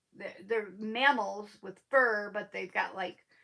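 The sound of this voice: A woman with a medium pitch speaks slowly, her bright, sharp tone carrying vocal fry and ordinary pitch variation.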